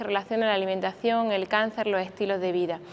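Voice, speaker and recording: A woman talks at a very fast pace. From Spain, Granada (Andalusia). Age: 40s. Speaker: doctor and cancer survivor speaker. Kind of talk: conference talk.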